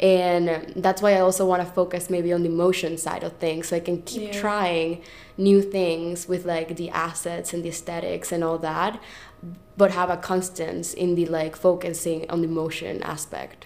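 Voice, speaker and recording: A woman with a Spanish accent speaks at fairly low pitch and a moderate pace, in a monotone, flat intonation. Noticeable background noise is present. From Venezuela. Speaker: artist. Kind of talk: interview.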